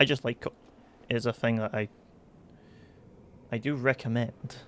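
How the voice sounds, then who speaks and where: A man keeps a flat, monotone intonation at a middling tempo. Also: medium pitch for a man. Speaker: gaming streamer. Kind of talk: gameplay commentary. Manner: halting, frequent false starts.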